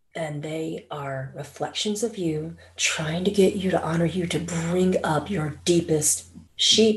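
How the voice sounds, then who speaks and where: A woman speaks at a very slow pace with a somewhat breathy voice. Her pitch varies in an ordinary way. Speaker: spiritual channeler. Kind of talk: spiritual talk.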